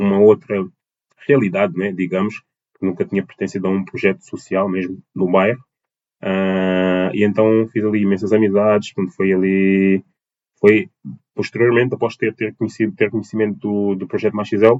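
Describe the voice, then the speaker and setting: The man's fairly low voice holds a monotone, flat intonation at a moderate pace. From Portugal, Lisbon and Almada (south bank). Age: 20s. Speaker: dance teacher and choreographer. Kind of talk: interview. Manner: halting, many fillers and repetitions.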